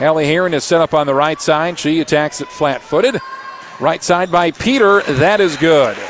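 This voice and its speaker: The man's fairly high voice moves at a moderate pace, with ordinary pitch variation, against noticeable background noise. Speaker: radio sports play-by-play announcer. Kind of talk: live play-by-play commentary. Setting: courtside at a gym, radio broadcast.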